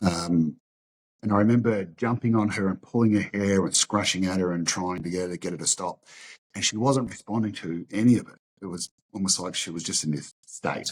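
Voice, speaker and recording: A man with a very deep, low pitch and an Australian accent, fairly quick pace, ordinary pitch variation and big swings in loudness, in a dry, close sound with no echo and a very clean recording with a silent background. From western Sydney, Australia. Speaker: martial arts school owner. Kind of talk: interview testimony. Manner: halting, repeats words.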